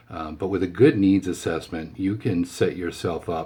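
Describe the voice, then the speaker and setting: A man with an American accent speaks at a very deep, low pitch in a somewhat breathy voice with a dark, mellow tone. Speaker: insurance team manager. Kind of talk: team briefing video. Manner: fast; casual, filler-heavy.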